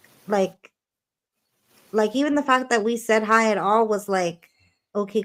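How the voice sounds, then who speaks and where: On a very clean recording with a silent background, a woman talks at a moderate pace with a fairly high pitch. Her intonation stays fairly even, broken by long, frequent pauses. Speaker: paranormal channel co-host. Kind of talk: live stream conversation. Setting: at home, live stream.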